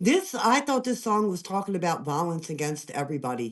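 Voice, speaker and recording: An animated tone with an American accent against a quiet background. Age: 50s. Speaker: live stream guest. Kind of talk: heated debate.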